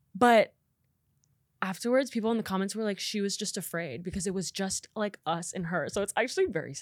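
A woman with an American accent talks in an animated tone at a fairly quick pace. Her voice sits at a medium pitch with ordinary pitch variation. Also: very clean recording, silent background. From Nebraska, US Midwest. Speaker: content creator. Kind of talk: casual chat.

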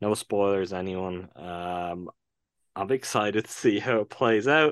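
A man with an Irish accent, a dry, close sound with no echo and a quiet background. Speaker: podcast co-host. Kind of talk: casual chat.

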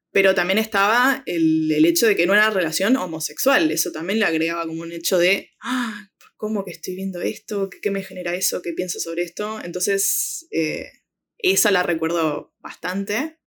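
The woman has a medium pitch and speaks with an Argentine accent. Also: ordinary pitch variation, moderate pace. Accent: Rioplatense Argentine Spanish. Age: 20s. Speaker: film social media curator. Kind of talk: interview. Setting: remote call.

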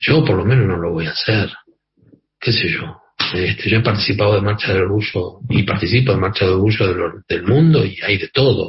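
With a normal speaking voice, a man talks at a fairly quick pace in a fairly low pitch with ordinary pitch variation. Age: 50s. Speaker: activist and journalist. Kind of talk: radio interview.

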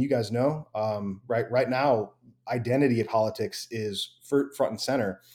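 On a very clean recording with a silent background, a man with a Midwestern American accent speaks at a moderate pace in a dark, mellow tone with fairly even intonation. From US Midwest, Wheaton, Illinois. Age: 30s. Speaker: pastor. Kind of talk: casual interview.

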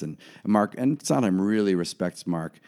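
A man's dark, mellow voice at a moderate pace, dry and close with no echo, on a very clean recording with a silent background. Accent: American. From US Mid-Atlantic (Bethesda, Maryland). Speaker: musical director and sheet music collector. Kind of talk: casual interview.

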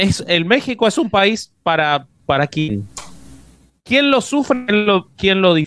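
Pitched high, a man speaks at a fairly slow pace with very wide pitch swings, very even loudness, and long, frequent pauses. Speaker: interviewer. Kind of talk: casual chat.

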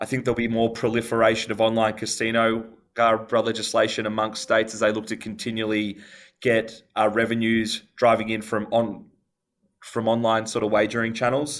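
The recording is very clean, its background silent. A man talks at a fairly quick pace and medium pitch with monotone, flat intonation. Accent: American. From Melbourne, Australia. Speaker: company CEO. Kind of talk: interview answers, business talk.

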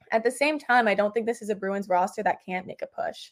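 A woman with an American accent uses a normal speaking voice, fairly high in pitch, at a moderate pace with ordinary pitch variation. The recording is very clean, with a silent background. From New York City. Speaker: hockey journalist. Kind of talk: casual interview.

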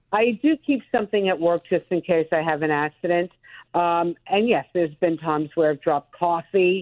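The speaker has a Brooklyn accent and a moderate pace. Loudness stays very even, and pitch varies an ordinary amount. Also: woman, fairly low pitch for a woman. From Brooklyn, New York. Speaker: TV news anchor. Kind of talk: casual interview chat.

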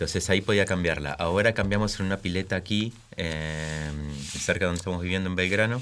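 A man's very deep, low pitch at a very fast pace, with fairly even intonation. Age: 40s. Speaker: father. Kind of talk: panel discussion.

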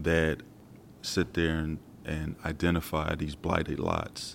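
This man's pitch is very deep and low. He talks at a fairly slow pace. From South Philadelphia. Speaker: horticulturalist. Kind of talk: interview.

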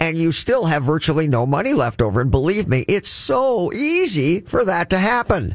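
With an animated tone, a man speaks at a high pitch and a moderate pace, his pitch swinging very widely while his loudness stays very even and he takes hardly any pauses. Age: 60s. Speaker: financial coach and radio host. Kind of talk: radio talk show monologue. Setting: radio studio.

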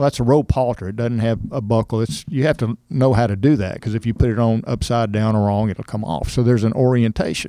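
Here a man with a Texan accent and a dark, mellow tone races along at a very fast pace with hardly any pauses, at a medium pitch with ordinary pitch variation, against a quiet background. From Texas, Cypress near Houston. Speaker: rodeo board chairman. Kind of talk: interview.

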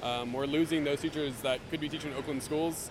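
Over noticeable background noise, a man talks at a fairly quick pace with a fairly high pitch and monotone, flat intonation. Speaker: teacher. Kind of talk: protest interview. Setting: outdoors at a protest. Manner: measured, explanatory, filler-heavy.

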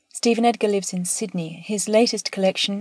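Somewhat breathy, a woman speaks at a moderate pace in a monotone, flat intonation. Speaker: poetry editor. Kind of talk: scripted introduction. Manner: formal.

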